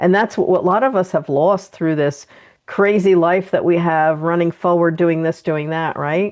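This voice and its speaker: Delivered at a moderate pace, an unremarkable speaking voice keeps its intonation fairly even. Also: woman, fairly low pitch for a woman. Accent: American. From New Jersey, US. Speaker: podcast host and energy healer. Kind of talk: interview conversation.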